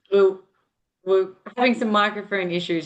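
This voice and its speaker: A woman with an Australian accent and a medium pitch. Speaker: nurse educator. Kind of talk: online lecture. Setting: video call.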